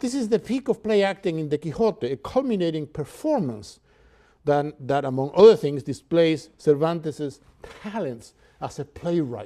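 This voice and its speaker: With a Cuban accent and a dark, mellow tone, the voice moves at a moderate pace through very wide pitch swings. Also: man, fairly high pitch for a man. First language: Spanish. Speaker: professor. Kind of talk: lecture; reading aloud. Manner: halting, many fillers.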